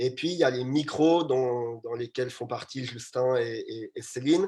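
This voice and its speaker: Somewhat breathy and dark, mellow in tone, a man speaks at a fairly slow pace with a medium pitch and ordinary pitch variation. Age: 20s. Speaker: startup co-founder. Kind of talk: live panel talk. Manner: hesitant, many fillers.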